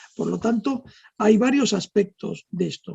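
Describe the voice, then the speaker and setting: The sound is close and dry, with no echo at all. Here a man speaks very slowly. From Argentina. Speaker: neurologist. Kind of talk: interview. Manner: hesitant.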